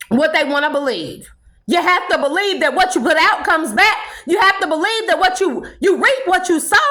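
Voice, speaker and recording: A woman projects her raised voice at an extremely high pitch with an animated tone and very even loudness, amid audible room echo and noticeable background noise. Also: lively intonation, fairly quick pace. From California. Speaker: spiritual vlogger. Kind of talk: impassioned monologue.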